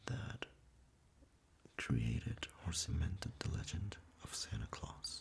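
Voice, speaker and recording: Whispering at a very slow pace, the voice leaves long, frequent pauses over noticeable background noise. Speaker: ASMR creator. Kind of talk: casual intro to camera. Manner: soft-spoken.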